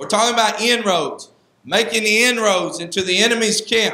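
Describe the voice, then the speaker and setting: A man speaks in a raised, projected voice, with audible room echo around him. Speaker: Sunday school teacher, preacher. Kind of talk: Sunday school Bible lesson in a preaching style, with repeated 'amen' calls. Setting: church. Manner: earnest and exhortative, conversational, with filler 'uh' and frequent 'amen'. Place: church. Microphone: handheld.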